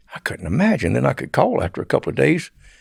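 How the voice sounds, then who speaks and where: Very fast and marked by vocal fry, a man talks with a Southern US accent. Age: 70s. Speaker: former drug smuggler. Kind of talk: interview storytelling.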